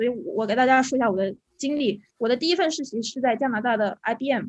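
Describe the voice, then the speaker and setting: High pitch from a woman, set against a quiet background. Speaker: UX designer. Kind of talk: panel discussion. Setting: video call.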